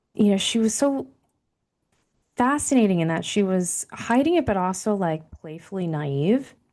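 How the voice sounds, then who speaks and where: Over a quiet background, a woman with a dark, mellow tone and medium pitch speaks at a moderate pace, her pitch swinging very widely. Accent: American. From central New Jersey and Taipei, Taiwan. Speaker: author and leadership coach. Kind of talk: interview conversation.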